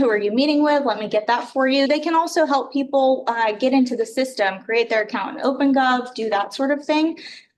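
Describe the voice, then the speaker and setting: A woman is speaking. Audible room echo can be heard. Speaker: city department director presenting budget. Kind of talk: budget presentation at council meeting. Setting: council chamber with microphones. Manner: hesitant, many filler words. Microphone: too far from mic, mic not working.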